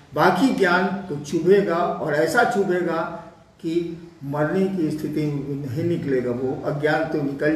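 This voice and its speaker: Amid noticeable background noise and audible room echo, a man with a fairly high pitch speaks with ordinary pitch variation. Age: 70s. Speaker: spiritual teacher. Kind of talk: spiritual Q&A discourse.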